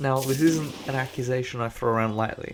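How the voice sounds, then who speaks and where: This man's voice sits at a medium pitch with fairly even intonation. There is noticeable background noise. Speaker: gaming commentator. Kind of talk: gameplay commentary voiceover.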